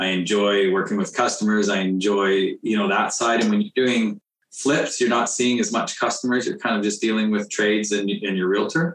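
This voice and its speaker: A man speaks with a Canadian accent at a moderate pace, his pitch fairly low and his intonation fairly even. His loudness stays very even in an ordinary speaking voice. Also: hardly any pauses. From northern British Columbia, Canada. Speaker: renovation contractor and house flipper. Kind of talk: casual interview.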